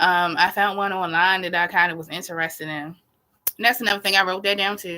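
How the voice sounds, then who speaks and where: A woman with a Baltimore accent talks at a very fast pace in a bright, sharp tone, in a very clean recording with a silent background. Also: medium pitch for a woman. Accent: Baltimore accent, noticeable. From Baltimore, US. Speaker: astrology YouTuber. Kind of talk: casual livestream chat. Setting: livestream from laptop. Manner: animated.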